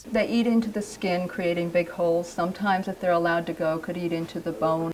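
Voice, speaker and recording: Over noticeable background noise, a woman speaks at a very fast pace with a fairly low pitch. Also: ordinary pitch variation. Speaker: doctor. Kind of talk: doctor talking to patient and interview answer.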